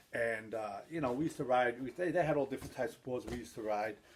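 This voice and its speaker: A man speaks with a New York accent at a medium pitch. His pace is very fast. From New York City, the Bronx. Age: 50s. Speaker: skateboard hobbyist vlogger. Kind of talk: casual vlog talk. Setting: at home. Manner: animated.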